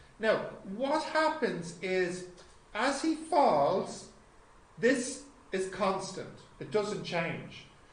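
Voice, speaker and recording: An Irish accent over noticeable background noise. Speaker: physics teacher. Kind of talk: lecture.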